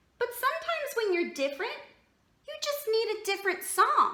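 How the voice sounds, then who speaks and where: The put-on character voice is squeaky and extremely high-pitched, with a slight echo. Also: moderate pace. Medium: read story.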